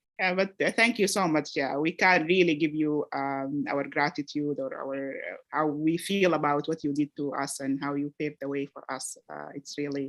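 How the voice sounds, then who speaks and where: Speaking with an Arabic accent at a moderate pace, a woman uses a very deep, low pitch with ordinary pitch variation, hardly any pauses and big swings in loudness, in a dry, close sound with no echo. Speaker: medical research fellow. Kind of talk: reflective remarks at graduation meeting. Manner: halting, many fillers.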